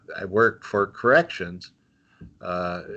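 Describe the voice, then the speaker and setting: A man with a fairly low pitch and a slight North Dakota accent, a bright, sharp tone, ordinary pitch variation and a very slow pace. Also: quiet background. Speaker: volunteer, mental health practitioner. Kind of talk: casual interview. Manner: halting, many fillers.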